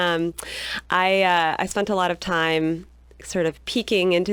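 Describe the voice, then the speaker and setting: This woman's voice sits at a medium pitch. She talks at a moderate pace. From California. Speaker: agroecology professor. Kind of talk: radio interview. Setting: radio studio.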